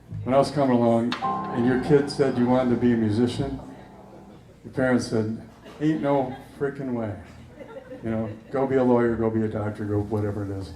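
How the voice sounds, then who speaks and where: A man talks fairly quickly with fairly even intonation and long, frequent pauses, amid audible room echo and noticeable background noise. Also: medium pitch for a man. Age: 70s. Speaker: musician. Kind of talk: stage banter. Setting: stage with audience.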